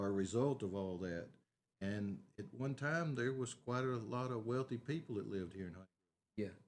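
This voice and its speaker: Lively intonation runs through this man's speech. He talks at a moderate pace with a Texas accent. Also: medium pitch for a man. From Northeast Texas. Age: 60s. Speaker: local council candidate, aerial application business owner. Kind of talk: interview.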